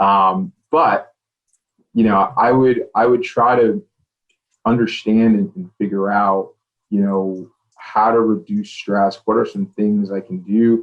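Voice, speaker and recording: The delivery is very slow, with long, frequent pauses. The intonation is lively. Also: man. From US, child of Caribbean immigrants. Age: 30s. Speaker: tech sales professional. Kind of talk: podcast interview. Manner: hesitant, many fillers.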